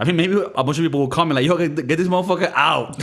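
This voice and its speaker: Noticeable background noise sits behind a man's voice. He talks at a very fast pace in a fairly high pitch. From Miami, Florida. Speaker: podcast host. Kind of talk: casual comedic chat.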